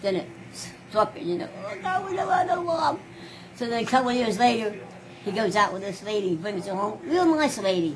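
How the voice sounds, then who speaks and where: Noticeable background noise sits behind a woman talking at a moderate pace. Her fairly high voice makes very wide swings in pitch. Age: 80s+. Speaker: grandmother recounting life story. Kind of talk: family interview answer.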